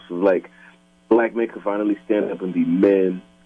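Over noticeable background noise, a man with an American accent talks at a moderate pace, with fairly low pitch and ordinary pitch variation. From Minnesota, South Minneapolis. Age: 30s. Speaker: hip hop artist. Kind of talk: casual chat. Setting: phone call.

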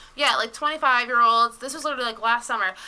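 Bright and sharp in tone, a woman's voice is raised and projected. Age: 20s. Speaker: podcast guest. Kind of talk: casual chat.

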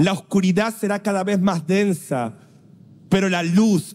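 A man speaks in an animated tone with a Rioplatense accent. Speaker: preacher. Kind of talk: sermon.

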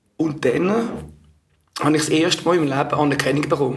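A man speaks with a fairly high voice and fairly even intonation. Audible echo fills the room. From Switzerland, Zurich area. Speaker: former drug user. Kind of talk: testimony. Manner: halting.

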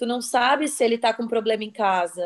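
A woman with a plain, everyday voice talks at a moderate pace with fairly high pitch and fairly even intonation. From Santa Catarina, Brazil. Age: 30s. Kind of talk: casual chat. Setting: video call.

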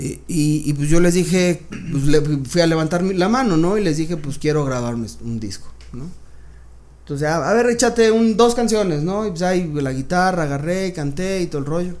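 Amid audible room echo, a man with a high pitch speaks with lively intonation. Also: moderate pace. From Mexico City. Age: 30s. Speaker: music producer and entrepreneur. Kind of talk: interview. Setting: recording studio.

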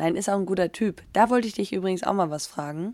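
Recorded with a dry, close sound and no echo, a woman speaks at a fairly quick pace in an animated tone with ordinary pitch variation. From Germany. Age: 30s. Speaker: professional footballer and podcast co-host. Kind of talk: casual chat. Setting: video call.

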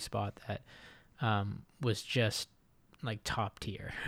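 This man has an ordinary speaking voice, fairly low in pitch with ordinary pitch variation, on a very clean recording with a silent background. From Japan (Okinawa, US Navy family). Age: 20s. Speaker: podcast host and YouTuber. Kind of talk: casual solo monologue. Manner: many fillers and repeats, laughs often.

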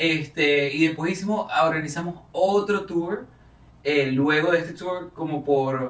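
The speaker has a Venezuelan accent and a fairly slow pace. The pitch varies in an ordinary way. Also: man, fairly high pitch for a man. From Venezuela (Caracas). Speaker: actor and singer. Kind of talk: casual interview.

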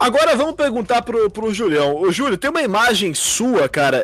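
A man's animated voice with very wide pitch swings, noticeable background noise behind it. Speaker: fan podcast host. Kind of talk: casual chat.

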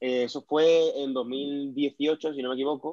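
This man's voice has a dark, mellow tone, a medium pitch and fairly even intonation. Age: 20s. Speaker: powerlifter. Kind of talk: interview.

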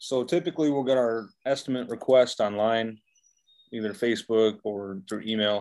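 The man has an unremarkable speaking voice with an American accent. He speaks at a medium pitch. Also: ordinary pitch variation, moderate pace. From Michigan. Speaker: painting contractor. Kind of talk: interview.

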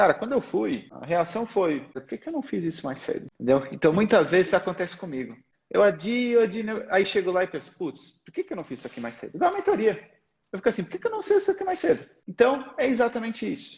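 A man speaks very fast at a high pitch. His voice shows very wide pitch swings and big swings in loudness. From Portugal. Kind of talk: casual interview and mentoring chat.

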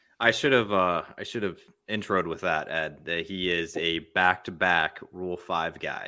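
A man speaks at a fairly slow pace with an American accent. His pitch is very deep and low, with fairly even intonation. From Missouri. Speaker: podcast host. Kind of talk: casual chat.

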